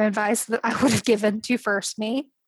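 A woman with an American accent speaks at a fairly high pitch, her sound dry and close with no echo. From Oklahoma, US. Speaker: novelist. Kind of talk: casual interview chat.

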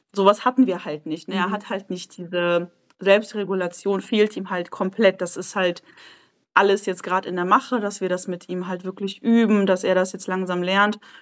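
At a moderate pace, a woman with a plain, everyday voice keeps a fairly even intonation, though her loudness swings widely. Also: medium pitch for a woman. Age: 20s. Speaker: mother sharing her experience. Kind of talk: casual interview chat.

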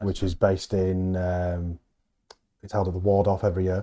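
A man talks with a Yorkshire accent at a fairly quick pace. His pitch is very deep and low. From Halifax, West Yorkshire. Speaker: head chef. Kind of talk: casual chat. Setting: on location at a hotel.

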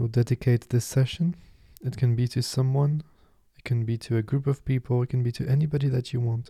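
Somewhat breathy and calm, a man speaks in a dark, mellow tone with gentle, monotone, flat intonation, in a dry, close sound with no echo. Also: medium pitch for a man. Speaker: meditation teacher. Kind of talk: guided meditation. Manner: calm, gentle, unhurried, soothing.

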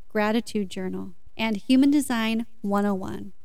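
With a plain, everyday voice, a woman speaks at a fairly high pitch with fairly even intonation. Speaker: podcast host and meditation guide. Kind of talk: guided meditation. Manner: slow, soothing, calm and gentle, with long pauses.

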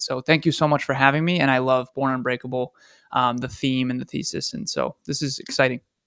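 An unremarkable speaking voice moves at a fairly quick pace. The recording is very clean, with a silent background and a dry, close sound with no echo. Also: man. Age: 30s. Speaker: business coach. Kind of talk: interview.

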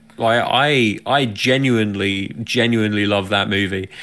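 The recording is very clean with a silent background. A man speaks at a medium pitch in an English accent. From England. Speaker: podcast co-host. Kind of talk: casual chat.

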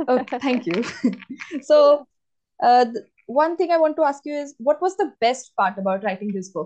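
A woman's high voice with very wide pitch swings and long, frequent pauses. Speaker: book podcast host interviewing an author. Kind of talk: interview. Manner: fast.

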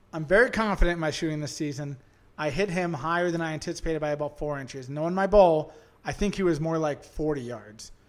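This man has a fairly high pitch and ordinary pitch variation. He talks at a very fast pace in an Upper Midwest accent. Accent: Upper Midwest (Minnesota). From Central Minnesota. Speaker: hunter. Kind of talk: casual chat.

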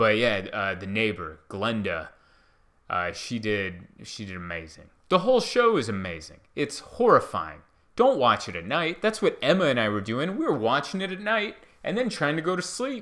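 With vocal fry and a bright, sharp tone, a man speaks at a moderate pace in a fairly high pitch with very wide pitch swings, recorded very cleanly against a silent background. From Hungary, raised in the US from age four. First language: Hungarian. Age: 30s. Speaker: stand-up comedian. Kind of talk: casual solo podcast monologue. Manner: rambling, conversational.

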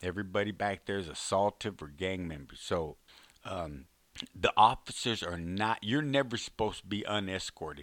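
A man talks with a Texan accent at a fairly low pitch. The recording is very clean and the background silent. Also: ordinary pitch variation, moderate pace. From Texas, Fort Worth. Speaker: former prisoner and author. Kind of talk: storytelling monologue. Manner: halting.

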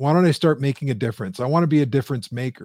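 A man's plain, everyday voice, fairly high in pitch with ordinary pitch variation, on a very clean recording with a silent background. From Canada, Windsor, Ontario. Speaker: business coach. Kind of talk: interview. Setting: live stream.

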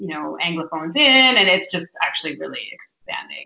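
A woman with a Canadian accent talks at a fairly quick pace in an ordinary speaking voice, her pitch medium for a woman. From Ontario, Georgian Bay area. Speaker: novelist. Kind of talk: interview.

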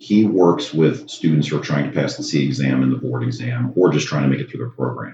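A man speaks with a very deep, low pitch and a dark, mellow tone. His intonation is lively, with vocal fry. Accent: American. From Maryland, US. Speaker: anesthesia practice owner and podcaster. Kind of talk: casual interview chat.

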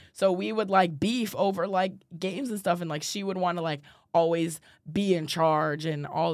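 A woman's normal speaking voice, fairly low in pitch, at a moderate pace with ordinary pitch variation, in a very clean recording with a silent background. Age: 20s. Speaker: college student podcast co-host. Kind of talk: casual chat.

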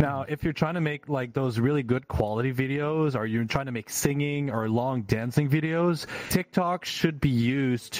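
A plain, everyday voice at a moderate pace with ordinary pitch variation, its sound dry and close with no echo. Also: man. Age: 30s. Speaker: podcast co-host. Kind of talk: casual chat.

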